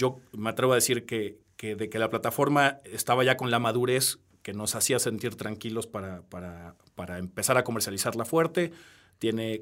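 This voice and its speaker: A man at medium pitch and moderate pace, with ordinary pitch variation and big swings in loudness, on a very clean recording with a silent background. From Peru. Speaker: wine tech entrepreneur. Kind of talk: interview. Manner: halting.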